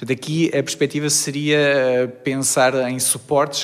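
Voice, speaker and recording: A man speaks in a monotone, flat way at a medium pitch, with noticeable background noise behind him. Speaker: chemical engineering researcher. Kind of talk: interview. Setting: university laboratory.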